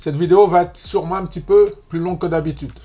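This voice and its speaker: Over music in the background, a man with a Martinican accent speaks very fast in a high-pitched voice. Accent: Martinican Antillean. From French Caribbean, Martinique. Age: 50s. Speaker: investing youtuber. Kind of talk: casual tutorial. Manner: chatty, informal.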